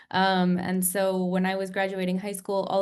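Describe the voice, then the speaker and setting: In a room with audible echo, a woman with an American accent talks at a fairly quick pace. Her intonation stays monotone and flat. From United States. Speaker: nurse turned health tech founder. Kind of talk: interview on webinar. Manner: many filler ums.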